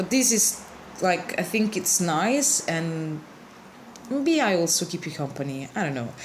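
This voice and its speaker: A woman with a non-native accent speaks at a fairly low pitch and a fairly slow pace, with lively intonation and long, frequent pauses, amid audible room echo and noticeable background noise. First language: not English. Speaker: card alter artist. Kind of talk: tutorial. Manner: casual, with hesitations; slow-paced.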